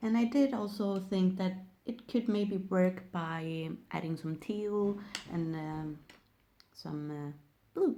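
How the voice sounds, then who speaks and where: Using a non-native accent, a woman talks at a very slow pace with long, frequent pauses, a dark, mellow tone and ordinary pitch variation. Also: medium pitch for a woman. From Sweden. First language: Swedish. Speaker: nail technician. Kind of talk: tutorial. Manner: halting.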